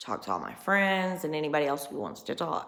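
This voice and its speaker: A woman speaks with a Southern US accent. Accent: country Southern US. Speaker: vlogger. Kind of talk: personal vlog monologue. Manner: casual, rambling conversational.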